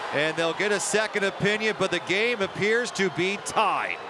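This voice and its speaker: A man's raised, projected, high-pitched voice at a moderate pace with ordinary pitch variation, over noticeable background noise. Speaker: play-by-play commentator. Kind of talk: live sports commentary.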